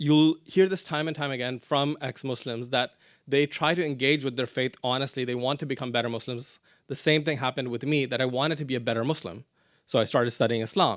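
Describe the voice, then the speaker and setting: A man's medium-pitched, fairly even voice at a very fast pace in a very clean recording with a silent background. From Pakistan. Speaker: activist. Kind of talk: lecture. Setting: stage with audience.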